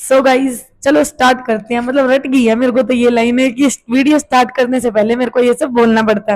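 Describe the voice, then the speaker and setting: At a fairly quick pace, a woman talks in a high pitch with very even loudness and monotone, flat intonation. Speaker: math teacher. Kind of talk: tutorial. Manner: casual.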